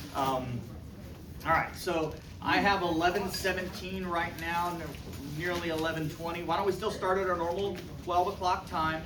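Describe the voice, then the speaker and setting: An animated tone carries along at a moderate pace, broken by long, frequent pauses over noticeable background noise. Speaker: respiratory therapy instructor. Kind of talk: lecture.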